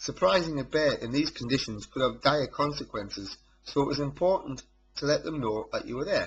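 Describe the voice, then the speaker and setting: In a North East England accent, the speech moves at a fairly quick pace with lively intonation. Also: man. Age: 30s. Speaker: amateur photographer. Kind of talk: narrated photo slideshow presentation.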